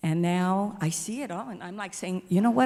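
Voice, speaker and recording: Somewhat breathy, a woman with an American accent talks at a fairly quick pace in a medium pitch with ordinary variation. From US West, East Los Angeles. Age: 70s. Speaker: audience member asking a question. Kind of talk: audience question at panel Q&A.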